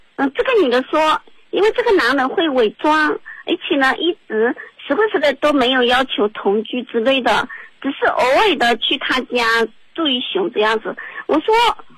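Over noticeable background noise, a woman speaks at a moderate pace in a high pitch, her loudness very even while her pitch swings very widely. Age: 30s. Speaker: radio call-in caller. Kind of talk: advice call-in.

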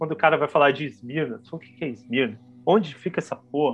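Over music in the background, a man speaks at a fairly quick pace with a fairly high pitch and ordinary pitch variation. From São Paulo, Brazil (Pirituba, north/west zone). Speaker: international relations graduate, podcast guest. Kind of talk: casual chat about books. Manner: halting, many repetitions.

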